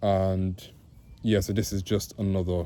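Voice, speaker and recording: This man's intonation is fairly even. His voice has a very deep, low pitch. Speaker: vlogger sharing mental health experience. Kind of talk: casual vlog monologue. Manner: hesitant, many fillers.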